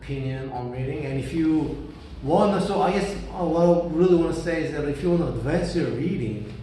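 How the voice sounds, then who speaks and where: This man has a fairly high pitch, ordinary pitch variation and a fairly quick pace. Noticeable background noise and audible room echo fill the recording. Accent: Korean. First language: Korean. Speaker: vlogger. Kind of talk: casual monologue. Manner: halting.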